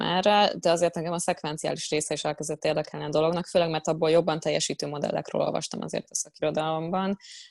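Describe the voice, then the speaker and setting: A woman's fairly low, very fast voice with vocal fry and fairly even intonation, dry and close with no echo, over a quiet background. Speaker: data scientist. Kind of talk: interview.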